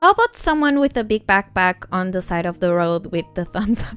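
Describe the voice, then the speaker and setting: A woman speaks at a moderate pace with a non-native accent, her pitch swinging very widely. Music plays in the background, and the sound is dry and close with no echo. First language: not English. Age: 20s. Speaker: art streamer. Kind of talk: casual livestream chat while drawing. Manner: hesitant, many fillers.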